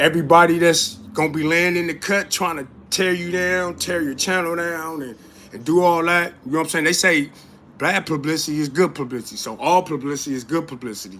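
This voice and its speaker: A high-pitched man's voice, bright and sharp in tone and animated, at a fairly quick pace with ordinary pitch variation. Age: 40s. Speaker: YouTube live streamer, commentator. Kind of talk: casual live-stream commentary. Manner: animated, repetitive filler.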